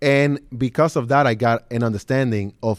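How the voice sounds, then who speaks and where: A man with an American accent, medium pitch and ordinary pitch variation, on a very clean recording with a silent background and a dry, close sound with no echo. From Brooklyn, New York. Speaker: real estate developer. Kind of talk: interview before live audience. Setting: stage with audience.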